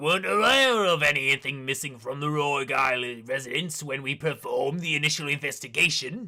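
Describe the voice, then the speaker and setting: A man puts on a strained character voice with a fairly high pitch, talking at a fairly quick pace. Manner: strained, uncomfortable voice.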